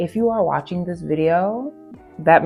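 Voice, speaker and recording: A woman talks at a fairly slow pace. Background music plays throughout. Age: 30s. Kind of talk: casual talk to camera. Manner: upbeat.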